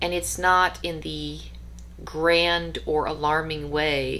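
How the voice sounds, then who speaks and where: A woman speaks at a very slow pace. Audible echo fills the room around her. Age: 30s. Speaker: vlogger. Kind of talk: personal monologue.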